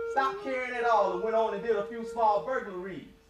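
Over music in the background, a man speaks at an extremely high pitch. His pace is fairly quick. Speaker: spoken word poet. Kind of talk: spoken word poetry performance. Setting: live event before an audience.

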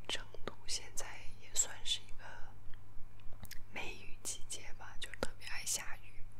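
A woman speaks at a very slow pace through noticeable background noise. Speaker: ASMR creator. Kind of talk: casual talk to camera. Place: home room. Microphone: phone near.

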